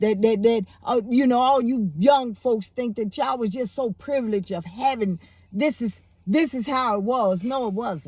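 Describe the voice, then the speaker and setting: A woman speaks in a fairly high voice with an animated tone and ordinary pitch variation. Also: moderate pace. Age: 60s. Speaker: YouTube commentator. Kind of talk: casual monologue. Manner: halting, repeats words.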